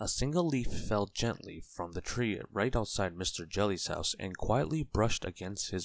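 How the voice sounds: What comes through is a natural reading voice.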